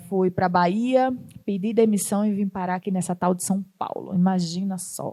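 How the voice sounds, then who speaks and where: A woman with a northeastern Brazilian accent speaks at a medium pitch and a fairly slow pace in a dark, mellow tone. The recording is very clean, with a silent background. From Northeast Brazil. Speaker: startup founder and CEO. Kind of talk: talk to an audience.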